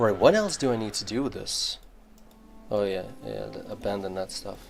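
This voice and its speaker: Over music in the background, a man talks at a moderate pace with big swings in loudness. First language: not English. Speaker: gaming streamer. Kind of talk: casual live-stream chat while gaming. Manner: casual, filler-heavy with many 'like's.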